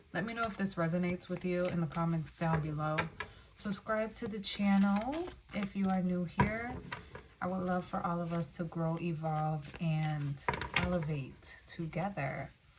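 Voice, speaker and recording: Over noticeable background noise, a woman with a fairly low pitch talks at a moderate pace with ordinary pitch variation. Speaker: tarot reader. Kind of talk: tarot reading. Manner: stumbling over words.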